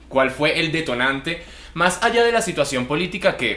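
A man at a moderate speed, lively in intonation, amid noticeable background noise. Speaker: podcast host. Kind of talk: interview.

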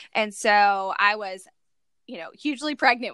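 A woman with an American accent speaks at a moderate pace, her pitch fairly high. Her tone is bright and sharp, and the sound is dry and close with no echo. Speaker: foster and adoptive mom, blogger. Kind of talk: casual interview. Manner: chatty, many filler words.

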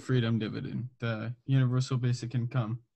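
A man with an American accent has a dark, mellow tone that is somewhat breathy. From Southern California. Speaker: podcast host. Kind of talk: casual interview.

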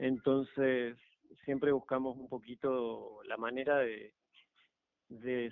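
A man's medium-pitched voice at a very slow pace. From Argentina. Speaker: electric car conversion hobbyist. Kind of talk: radio interview.

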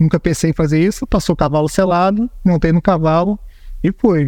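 A man talks at a moderate pace. His pitch is high, and his tone is dark and mellow. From Brazil, Belém do Pará. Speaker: air force fighter pilot and squadron commander. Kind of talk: interview. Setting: air base.

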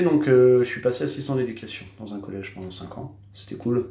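Very fast speech from a man at medium pitch. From Normandy, France (Cherbourg, Cotentin). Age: 30s. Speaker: tattoo artist. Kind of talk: casual interview. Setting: his tattoo studio. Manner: hesitant, many fillers.

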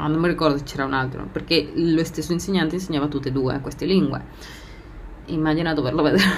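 A woman with a Spanish accent speaks very fast at a very deep, low pitch, leaving long, frequent pauses, with fairly even intonation. Room echo is audible, and there is noticeable background noise. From Argentina. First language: Spanish (speaking Italian). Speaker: podcast host. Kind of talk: personal monologue. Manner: laughs often.

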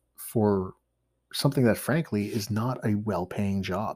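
A man with a Canadian accent talks at a moderate pace in a plain, everyday voice. His fairly low pitch shows ordinary variation. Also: very clean recording, silent background. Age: 30s. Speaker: bushcraft instructor and podcast host. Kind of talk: solo podcast monologue.

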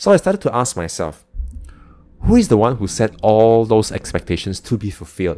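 A man talks at a fairly quick pace with a medium pitch. His tone is dark and mellow, with ordinary pitch variation. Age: 30s. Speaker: podcast host, entrepreneur. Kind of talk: solo podcast monologue.

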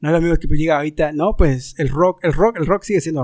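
Speaking fairly quickly, a man uses a normal speaking voice pitched fairly high. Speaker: podcast host. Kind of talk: casual chat.

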